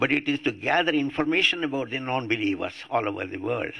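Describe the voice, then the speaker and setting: With an Indian accent, a man speaks in a bright, sharp tone at medium pitch, his intonation lively. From India, Andhra Pradesh. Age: 80s+. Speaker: atheist activist. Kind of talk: public talk.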